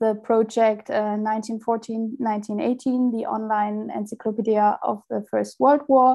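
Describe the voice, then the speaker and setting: In a German accent, a woman speaks fairly slowly at a fairly high pitch, with fairly even intonation over a quiet background. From Germany. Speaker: software engineer; presenter. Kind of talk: conference presentation. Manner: halting. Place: home room. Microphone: earbuds.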